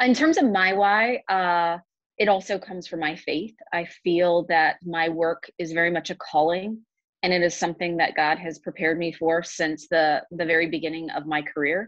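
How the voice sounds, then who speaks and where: A woman talks at a moderate pace in a fairly low pitch with fairly even intonation. The sound is dry with no echo, against a quiet background. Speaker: nonprofit executive director. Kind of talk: panel discussion. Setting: video call. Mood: earnest, reflective. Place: home room. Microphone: video call.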